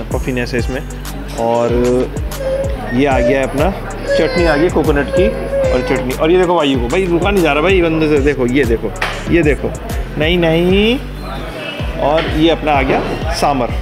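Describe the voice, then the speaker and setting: With clear music in the background, a man talks at a fairly slow pace with long, frequent pauses. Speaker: family vlogger. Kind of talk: casual vlog chat. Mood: cheerful, playful. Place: cafe. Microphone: phone near.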